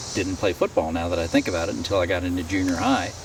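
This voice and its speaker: Amid noticeable background noise, a man with an American accent speaks with ordinary pitch variation. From Ohio. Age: 60s. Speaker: retiree telling life story. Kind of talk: life story interview. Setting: outdoors on a driveway. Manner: halting, frequent self-corrections.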